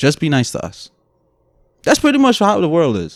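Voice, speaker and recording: A man with an American accent speaks with very wide pitch swings. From Brooklyn, New York, with Guyanese roots. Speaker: podcast co-host. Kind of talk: casual chat.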